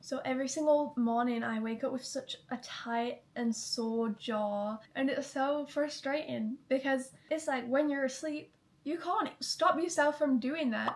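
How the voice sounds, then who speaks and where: Over noticeable background noise, a woman with a high pitch speaks at a fairly slow pace with ordinary pitch variation and hardly any pauses. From Manchester, England. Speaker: YouTuber. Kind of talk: casual vlog chat.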